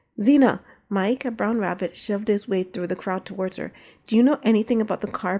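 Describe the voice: The pitch moves with ordinary variation. It is plain reading aloud.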